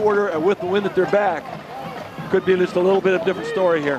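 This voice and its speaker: A high-pitched man with monotone, flat intonation at a fairly quick pace, with noticeable background noise. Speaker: color commentator. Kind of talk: live commentary.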